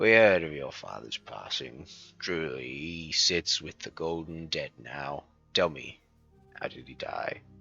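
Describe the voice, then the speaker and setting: A gravelly, put-on character voice at a fairly slow pace, with faint music in the background. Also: man, very deep, low pitch for a man, big swings in loudness. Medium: game stream. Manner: gruff, hearty.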